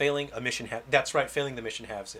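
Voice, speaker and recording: At a fairly quick pace, a man with an American accent speaks at a fairly high pitch. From California, US. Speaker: game developer streamer. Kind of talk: casual livestream gameplay chat. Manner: casual, hesitant with fillers.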